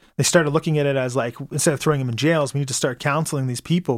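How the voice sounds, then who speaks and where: A man at a fairly high pitch, ordinary pitch variation, a very fast pace, and a very clean recording with a silent background. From Calgary, Alberta, Canada. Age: 30s. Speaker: activist and community patrol co-founder. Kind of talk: radio interview. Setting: studio.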